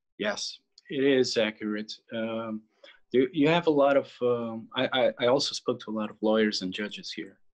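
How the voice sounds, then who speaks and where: With a Portuguese accent, a man speaks at a moderate pace, his medium pitch showing ordinary variation. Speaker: film writer and director. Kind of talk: interview. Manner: halting.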